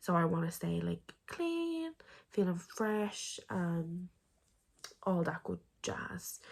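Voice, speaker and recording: Here a woman sounds somewhat breathy. The recording is very clean with a silent background. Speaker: vlogger. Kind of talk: video diary. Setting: home isolation. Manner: casual, filler-heavy.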